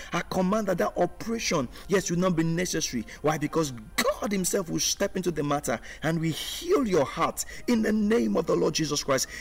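Against music in the background, a man talks at a fairly quick pace in a high pitch with lively intonation and very even loudness. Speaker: pastor. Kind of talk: fervent prayer of command and healing, declaring in Jesus' name. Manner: forceful, authoritative and rhythmic, repeating commands with rising intensity; earnest, urgent, declaring with conviction.

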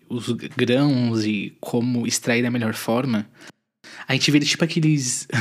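A man with an unremarkable speaking voice and a medium pitch is heard in a very clean recording with a silent background. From southern Brazil, Santa Catarina (Tubarão). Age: 20s. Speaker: podcast host. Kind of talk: casual monologue.

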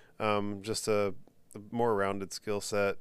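This man speaks in a fairly low voice with an American accent. His intonation is monotone and flat, and audible room echo surrounds it. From Texas. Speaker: podcast host. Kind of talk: casual solo commentary.

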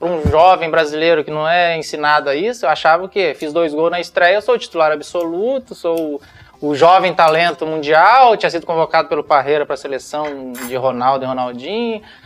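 Over noticeable background noise, a man with a fairly high pitch talks at a fairly quick pace with ordinary pitch variation and hardly any pauses. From northern Paraná, Brazil. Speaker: retired footballer. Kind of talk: casual interview.

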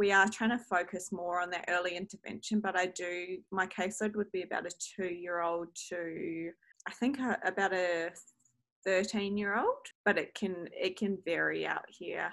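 A woman's medium-pitched, monotone voice at a moderate pace. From New Zealand. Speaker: speech pathologist. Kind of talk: casual interview.

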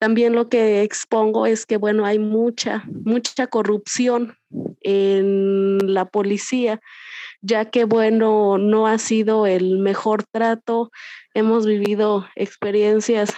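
Very slow and monotone with flat intonation, a woman speaks at a fairly high pitch in a dark, mellow tone at very even loudness, the sound dry and close with no echo against a quiet background. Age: 20s. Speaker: victim's family member. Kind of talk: testimony. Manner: halting, with many repetitions.

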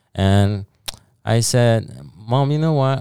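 A man's dark, mellow voice in a Spanish accent, with a dry, close sound with no echo on a very clean recording with a silent background. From El Salvador. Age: 20s. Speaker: cleaning business founder. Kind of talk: casual interview. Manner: halting.

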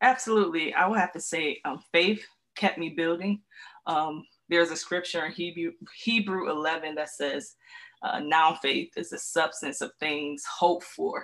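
A normal speaking voice with ordinary pitch variation keeps to a moderate pace. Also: woman. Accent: American. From Central New York (Syracuse). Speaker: author and ministry speaker. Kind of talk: faith-based interview conversation.

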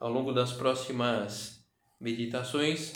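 This man's voice sits at a medium pitch. Audible room echo surrounds it. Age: 50s. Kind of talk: guided meditation. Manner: halting.

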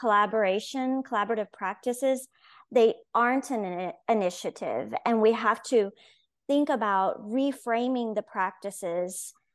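An ordinary speaking voice from a woman, fairly high in pitch, with ordinary pitch variation, a moderate pace and a quiet background. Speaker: education author. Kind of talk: casual interview conversation.

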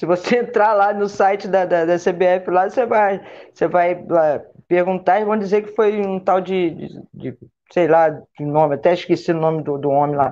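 A woman with an ordinary speaking voice talks at a moderate pace, her medium pitch carrying lively intonation. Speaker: former national team football player. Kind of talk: panel discussion on live stream.

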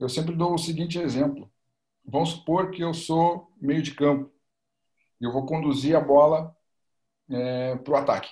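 Speaking at a moderate pace, a man uses a fairly high pitch and fairly even intonation. His voice is somewhat breathy, with long, frequent pauses. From Porto Alegre, Rio Grande do Sul, Brazil. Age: 20s. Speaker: football coach and master's student. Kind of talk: casual interview chat.

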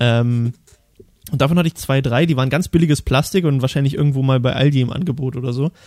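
Talking at a very fast pace, a man has medium pitch and fairly even intonation in a dry, close sound with no echo. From Thuringia, eastern Germany. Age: 20s. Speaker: podcast host. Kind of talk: casual chat. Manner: talkative.

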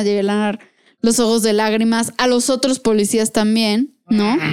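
A woman with an ordinary speaking voice talks at a fairly slow pace and fairly high pitch, her intonation fairly even, in a very clean recording with a silent background. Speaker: podcast co-host. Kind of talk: casual chat.

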